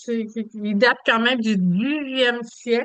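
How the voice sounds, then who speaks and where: A woman speaks in a Quebec accent. Her pitch is high. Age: 70s. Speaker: travel agent. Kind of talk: presentation. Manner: hesitant with many fillers.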